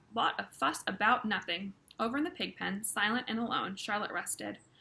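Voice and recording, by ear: Reading aloud in a natural voice, pitch shifting in an ordinary way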